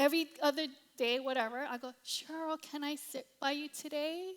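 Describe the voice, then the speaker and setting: Speaking in a Hawaiian accent, a woman has an animated tone and a fairly slow pace. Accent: Hawaiian American English. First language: Cantonese. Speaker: pastor. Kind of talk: sermon.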